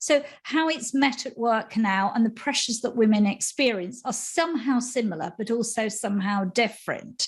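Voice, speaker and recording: A woman with a normal speaking voice, pitched fairly high with ordinary pitch variation, talks at a moderate pace with hardly any pauses on a very clean recording with a silent background. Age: 60s. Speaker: menopause educator. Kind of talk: interview.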